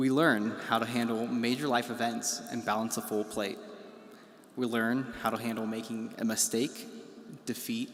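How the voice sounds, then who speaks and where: A man speaks at a moderate pace in a medium-pitched, monotone voice with flat intonation, over noticeable background noise. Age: 20s. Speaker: student government president. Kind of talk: commencement speech. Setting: graduation ceremony.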